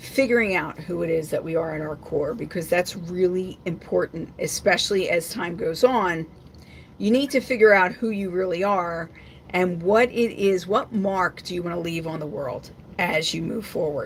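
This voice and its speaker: Moderate-paced, somewhat breathy speech from a woman. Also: medium pitch for a woman, ordinary pitch variation. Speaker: psychic intuitive reader. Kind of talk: live stream card reading.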